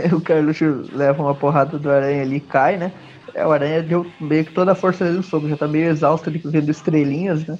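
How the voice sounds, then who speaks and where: Very fast, monotone, flat male speech at a fairly high pitch. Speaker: comic book podcast host. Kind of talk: casual chat.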